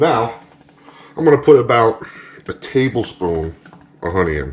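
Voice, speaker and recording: Over noticeable background noise, a man at a medium pitch speaks at a moderate pace with very wide pitch swings. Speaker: cooking channel host. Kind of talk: tutorial. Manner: casual, upbeat.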